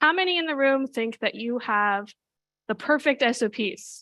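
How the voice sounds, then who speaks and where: A woman's high-pitched voice, bright and sharp in tone, with lively intonation against a quiet background. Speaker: cyber threat intelligence analyst and speaker. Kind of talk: conference talk. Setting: conference stage with audience. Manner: fast.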